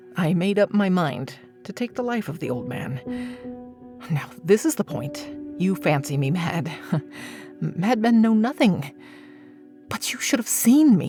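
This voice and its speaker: Over music in the background, the speaker talks fairly slowly with very wide pitch swings and long, frequent pauses. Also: woman, medium pitch for a woman. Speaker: voice actor. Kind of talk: dramatic horror story reading. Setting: home studio.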